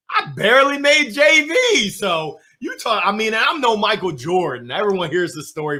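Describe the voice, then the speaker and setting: An animated man speaks in a raised, projected voice. His pitch is high and swings very widely. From US, moved around (Alabama, Nebraska, Illinois, Pennsylvania). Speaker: motivational speaker. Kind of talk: interview. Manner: loud.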